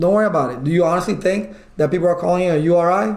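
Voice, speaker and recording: A man speaks loudly at a very fast pace and a high pitch. His pitch varies in an ordinary way, and audible room echo surrounds him. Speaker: IT certification instructor. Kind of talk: online lecture. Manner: animated.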